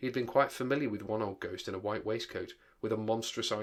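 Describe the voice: Someone is plainly reading aloud in this clip.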